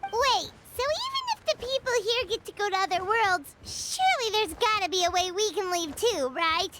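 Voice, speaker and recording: Pitched extremely high, a put-on character voice runs at a moderate pace with hardly any pauses. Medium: video game. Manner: loud, indignant, fast.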